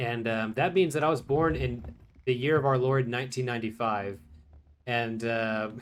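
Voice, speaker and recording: At a moderate pace, a medium-pitched man with an American accent uses a plain, everyday voice with ordinary pitch variation. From Texas, Houston. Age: 20s. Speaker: gaming YouTuber. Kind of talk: casual chat.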